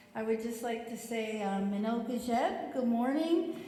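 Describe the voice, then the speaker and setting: There is audible room echo and noticeable background noise as a woman speaks at a fairly slow pace with a fairly high pitch. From southern Ontario First Nation. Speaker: teacher. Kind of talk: testimony.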